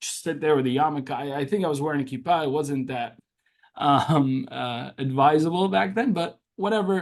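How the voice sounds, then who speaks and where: With an Arabic accent, a man talks at a moderate pace, his fairly high pitch carried by lively intonation. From Syria, Damascus; moved to US at seven. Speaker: social media activist. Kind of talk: interview.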